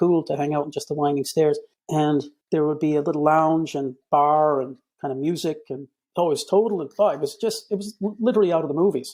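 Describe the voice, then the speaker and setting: A man's fairly high, dark, mellow voice at a very fast pace, with fairly even intonation, against a quiet background. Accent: Boston. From Boston, Massachusetts (via Cairo and Ennis, Co Clare). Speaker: communications director, podcast guest. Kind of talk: casual interview chat. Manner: halting, many repeated words and fillers.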